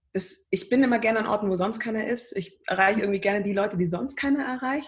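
This woman talks at a fairly quick pace with a somewhat breathy sound. Her fairly high voice shows ordinary pitch variation. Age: 20s. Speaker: singer-songwriter. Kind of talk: interview. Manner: hesitant, many fillers.

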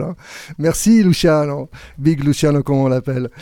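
The man's voice has a dark, mellow tone. His pitch varies in an ordinary way. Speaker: radio host. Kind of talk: live radio show presenter chat. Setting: radio studio, live broadcast.

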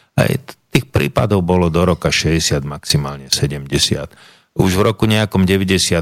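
A man speaks at a moderate pace. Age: 60s. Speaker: former police investigator. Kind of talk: studio interview. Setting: studio.

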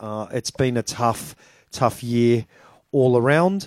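With an Australian accent, a man speaks at a medium pitch and fairly slow pace, the sound dry and close with no echo on a very clean recording with a silent background. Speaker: radio DJ. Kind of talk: radio show links between records.

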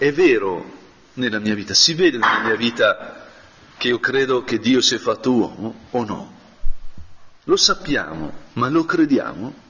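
The speech comes at a fairly slow pace with long, frequent pauses, and noticeable background noise runs underneath. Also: man. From northern Italy, Brianza. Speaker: priest. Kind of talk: guided meditation.

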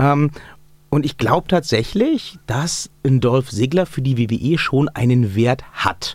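A somewhat breathy voice at a very slow pace with ordinary pitch variation. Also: man, medium pitch for a man. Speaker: wrestling podcast host. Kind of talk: casual banter. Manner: animated, joking.

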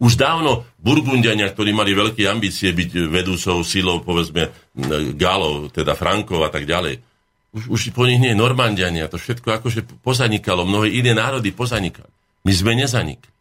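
Over a silent background in a very clean recording, a man talks at a fairly quick pace with lively intonation. His fairly low pitch carries a plain, everyday voice. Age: 60s. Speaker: academic painter. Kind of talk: radio talk show interview.

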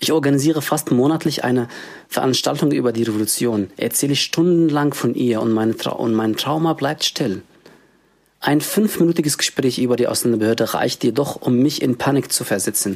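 A man with an unremarkable speaking voice talks at a medium pitch and a moderate pace. His pitch varies in an ordinary way, and his loudness stays very even. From Egypt. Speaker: refugee social worker and activist. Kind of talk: reading an essay aloud.

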